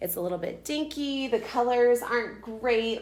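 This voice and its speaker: Amid noticeable background noise and audible room echo, a woman speaks in an animated tone. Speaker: furniture painter and realtor. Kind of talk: live-streamed tutorial. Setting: live video stream. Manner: fast.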